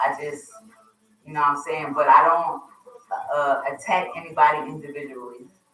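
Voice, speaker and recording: A woman's very deep, low voice in an American accent at a fairly quick pace, with audible room echo. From US East Coast (Wilmington, Delaware). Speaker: radio host. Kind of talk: casual chat.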